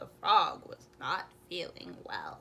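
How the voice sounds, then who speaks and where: A woman whispers in a put-on character voice at a very slow pace. Clear background noise can be heard. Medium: read story.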